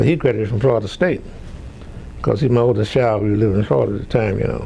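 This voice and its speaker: A man's voice, with ordinary rise and fall in pitch, comes through noticeable background noise. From Louisiana. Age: 90s. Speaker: retired professor. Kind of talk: oral history interview. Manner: halting.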